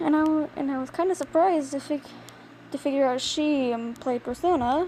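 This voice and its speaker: Over noticeable background noise, a woman speaks quietly at a high pitch and a fairly quick pace, with ordinary pitch variation. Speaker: hobby artist vlogger. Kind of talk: casual drawing commentary. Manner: halting.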